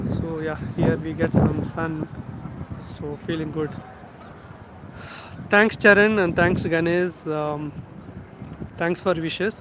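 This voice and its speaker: With a Telugu accent, a man speaks in a high pitch at a very slow pace, with long, frequent pauses and fairly even intonation, against noticeable background noise. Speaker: YouTube tech educator. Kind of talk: livestream chat with viewers. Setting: outdoors, walking.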